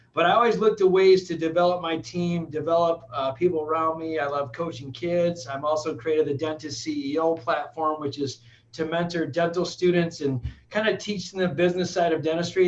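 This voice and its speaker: With an American accent, this energetic voice moves at a fairly quick pace with hardly any pauses. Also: man. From Michigan, Flint. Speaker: dentist and business owner. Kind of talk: casual interview.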